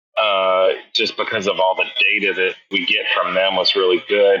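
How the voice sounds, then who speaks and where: A man speaks with a Texan accent. His pace is fairly slow. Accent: Texan American. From Houston, Texas. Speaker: chef and restaurateur. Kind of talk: interview conversation. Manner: casual, hesitant with fillers.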